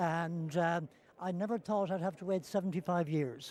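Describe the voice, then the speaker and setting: The speaker talks at a moderate pace with a western Irish accent. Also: man. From west of Ireland. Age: 80s+. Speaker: elderly supporter. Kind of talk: interview. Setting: stadium. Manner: halting.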